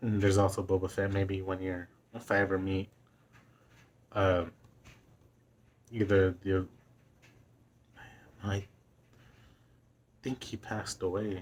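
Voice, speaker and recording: The man speaks at a fairly slow pace in a fairly low pitch. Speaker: vlogger. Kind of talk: casual monologue. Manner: halting.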